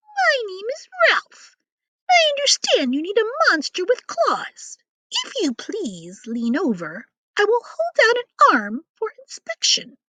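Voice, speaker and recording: In a put-on character voice, the speaker talks at a fairly slow pace in an extremely high pitch with very wide pitch swings. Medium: read story. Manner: polite, refined.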